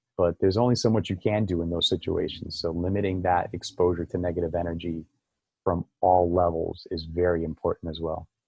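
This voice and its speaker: A man's very deep, low voice, very fast and monotone, with flat intonation over music in the background. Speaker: acupuncturist. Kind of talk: casual chat.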